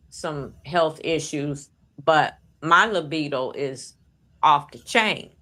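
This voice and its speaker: Very deep, low-pitched woman with a bright, sharp tone, at a very slow pace, on a very clean recording with a silent background. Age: 60s. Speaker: live stream participant. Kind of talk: casual chat.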